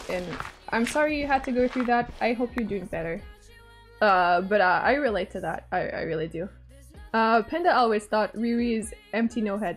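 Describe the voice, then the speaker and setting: With a relaxed tone and lively intonation, a woman speaks at a moderate pace in a fairly high pitch while music plays in the background. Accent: Quebec. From Quebec, Canada. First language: French. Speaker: gaming streamer. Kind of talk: casual livestream chat while gaming. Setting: live stream. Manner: relaxed, chill.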